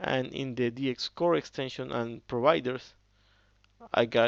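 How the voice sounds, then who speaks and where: A man speaks at a medium pitch with ordinary pitch variation, the sound dry and close with no echo. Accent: non-native. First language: Spanish. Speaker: software developer. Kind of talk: tutorial. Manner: halting, with frequent fillers.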